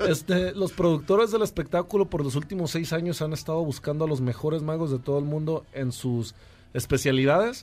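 This man has an unremarkable speaking voice. His pitch sits fairly high. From Mexico, Jalisco. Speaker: magician. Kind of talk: interview.

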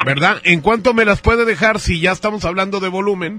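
A high-pitched man at a moderate pace, with music in the background. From northern Mexico, Monterrey. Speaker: radio host. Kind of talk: prank phone call.

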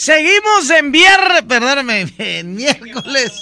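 Amid noticeable background noise, a man uses a raised, projected voice at an extremely high pitch. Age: 40s. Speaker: radio DJ. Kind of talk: radio show hosting. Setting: studio. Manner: animated.

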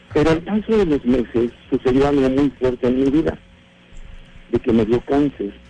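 At a moderate pace, a man with a medium-pitched voice and lively intonation keeps a very even loudness, pausing often and at length. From Mexico City. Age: 60s. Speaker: radio show caller. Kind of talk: personal story on a radio call-in. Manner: halting, repeats words.

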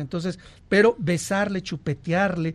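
Against a quiet background, the speech goes at a fairly slow pace with ordinary pitch variation. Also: man. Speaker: sexologist. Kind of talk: casual chat. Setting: studio.

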